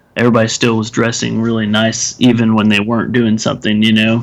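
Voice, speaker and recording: Monotone and flat in intonation, a man with an American accent speaks at a fairly quick pace in a medium pitch. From Texas. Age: 30s. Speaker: podcast co-host, film reviewer. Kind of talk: casual chat. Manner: hesitant, many fillers and restarts.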